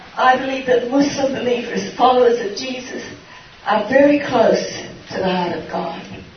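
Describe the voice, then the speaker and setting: Amid noticeable background noise and audible room echo, a woman speaks at a high pitch and moderate pace, with ordinary pitch variation and big swings in loudness. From Australia. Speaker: missionary nurse. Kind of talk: question and answer session.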